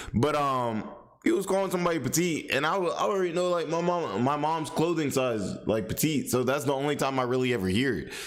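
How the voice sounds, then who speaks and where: A man's very fast speech at a fairly high pitch, lively in intonation yet very even in loudness, with noticeable background noise and audible room echo. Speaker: commentary streamer. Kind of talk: casual reaction commentary. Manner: many fillers, self-described poor speech; casual, repetitive restarts.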